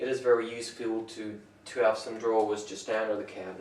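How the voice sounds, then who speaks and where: Amid noticeable background noise and audible room echo, a man speaks at a moderate pace and medium pitch. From France. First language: French. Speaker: woodworker. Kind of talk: tutorial. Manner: halting.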